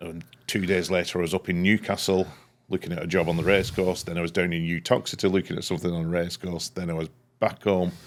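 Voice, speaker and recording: In a Lancashire accent, a man talks at a very fast pace with a very deep, low pitch. His intonation is monotone and flat, and the recording is very clean with a silent background. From northern England, Leigh, Lancashire. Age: 60s. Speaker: structural engineer. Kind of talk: casual interview chat.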